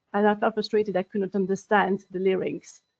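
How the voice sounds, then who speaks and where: A woman with a French accent and a medium pitch. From France. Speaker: language professional in legal sector. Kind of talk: webinar panel talk. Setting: online webinar. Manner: halting, many fillers.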